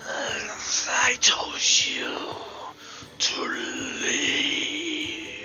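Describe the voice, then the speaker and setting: This is a put-on character voice, raspy and hissing. The pitch is extremely high. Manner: menacing, commanding.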